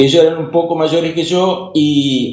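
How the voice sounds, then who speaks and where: At a moderate pace, a man with a Rioplatense accent speaks at a fairly high pitch. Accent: Argentine Spanish (rioplatense). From Argentina, Paraná (Entre Ríos). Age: 60s. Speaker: ham radio operator. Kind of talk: radio interview.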